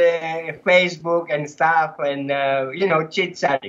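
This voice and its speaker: This man talks at a fairly slow pace. He has a Greek accent. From Greece. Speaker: former cult member. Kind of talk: podcast interview. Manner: animated.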